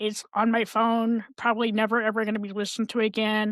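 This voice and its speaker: A woman at a fairly high pitch and moderate pace, in a very clean recording with a silent background and a dry, close sound with no echo. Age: 60s. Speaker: mental health advocate and podcast host. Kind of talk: casual chat. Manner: animated.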